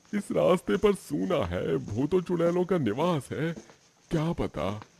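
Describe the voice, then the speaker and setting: In a cartoonish character voice, a man talks at a fairly slow pace, his high pitch making very wide swings. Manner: frightened, praying.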